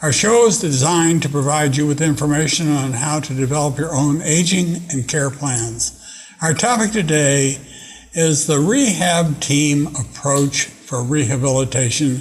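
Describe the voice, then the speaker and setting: Fairly slow speech from a man with a fairly high pitch and ordinary pitch variation, with audible room echo. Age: 80s+. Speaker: TV talk show host. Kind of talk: interview. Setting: studio. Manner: halting.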